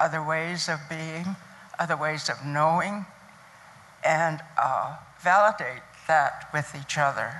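The speaker has a bright, sharp tone, a fairly slow pace and fairly even intonation. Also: woman. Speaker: nursing educator. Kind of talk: panel talk at a conference. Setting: stage with audience. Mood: calm, encouraging. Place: hall. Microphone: handheld.

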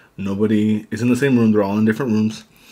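A man with an ordinary speaking voice talks in a fairly low pitch with fairly even intonation. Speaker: eating show host. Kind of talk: casual mukbang chat. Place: home room. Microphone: studio mic.

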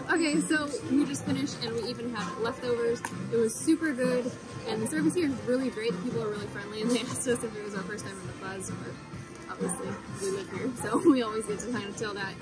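Over loud music in the background, a woman speaks at a very fast pace. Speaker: food vlogger. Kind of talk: casual vlog chat. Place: street.

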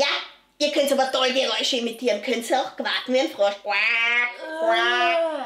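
A cartoonish, female-sounding character voice runs at a moderate pace and a high pitch. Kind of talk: children's puppet show. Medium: puppet.

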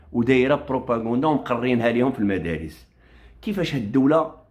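The voice belongs to a man. He talks at a moderate speed. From Morocco. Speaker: online commentator; commentator. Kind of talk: political rant on a live stream. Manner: animated. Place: home room. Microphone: phone near.

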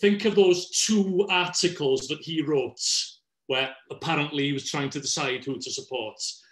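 With a Welsh accent, a man talks at a fairly slow pace in a high voice with lively intonation. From Wales. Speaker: politics professor. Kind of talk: panel discussion. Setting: live online video call.

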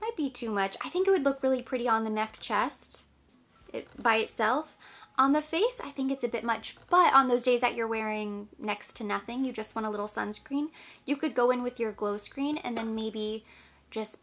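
Music in the background, a moderate pace, and ordinary pitch variation. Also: woman, high pitch for a woman. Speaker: beauty vlogger. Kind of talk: makeup tutorial chat. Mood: upbeat, friendly. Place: home room.

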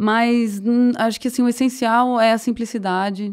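A woman's fairly high voice over a quiet background. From rural Goiás, Brazil. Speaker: somatic therapist; podcast guest. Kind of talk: interview. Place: studio. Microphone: studio mic.

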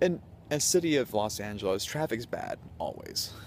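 Light background noise behind a man's dry voice with no echo. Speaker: vlogger. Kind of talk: casual vlog chat. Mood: animated, incredulous storytelling. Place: street. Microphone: phone near.

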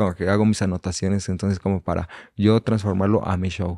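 A man speaks in a monotone, flat intonation with a dark, mellow tone and fairly low pitch, against a quiet background. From Mexico, Valle de Chalco (State of Mexico); State of Mexico. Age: 20s. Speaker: reggaeton singer and songwriter; podcast guest. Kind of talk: casual chat. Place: studio. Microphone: studio mic.

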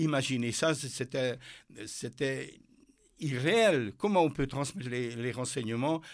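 A man at a very slow pace with ordinary pitch variation, in a very clean recording with a silent background. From Hungary. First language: Hungarian (speaking French). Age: 80s+. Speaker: author and former military officer. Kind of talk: interview. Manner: halting.

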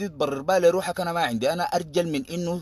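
In an animated tone, a man talks at a very fast pace with a high pitch. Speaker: political activist. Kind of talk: political monologue.

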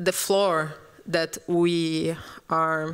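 Against a quiet background, a woman with a Brazilian accent speaks at a fairly low pitch in a monotone, flat intonation. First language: Portuguese. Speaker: architect, curator; panelist. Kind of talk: panel discussion. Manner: halting, searching for words. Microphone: handheld.

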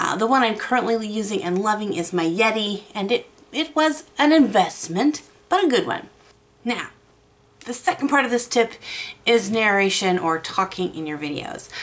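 A woman speaks at a moderate pace and a fairly high pitch. Her pitch swings very widely. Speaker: YouTube art creator. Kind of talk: tutorial. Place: home room. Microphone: studio mic.

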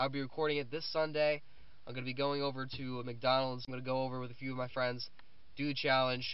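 A man at a very fast pace, dry sound with no echo. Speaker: student vlogger. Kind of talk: casual vlog chat. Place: car. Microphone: phone near.

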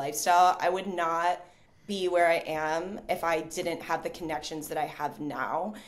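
Someone speaks at a moderate pace. It is an ordinary speaking voice. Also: woman. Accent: American. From United States. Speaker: digital nomad and content creator; content creator. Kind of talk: interview conversation.

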